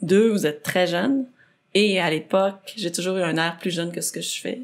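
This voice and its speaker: Her voice is fairly low for a woman, with vocal fry, ordinary pitch variation and a moderate pace. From Quebec, Saint-Jérôme (Rive-Nord). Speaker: athlete and adventurer. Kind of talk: podcast interview.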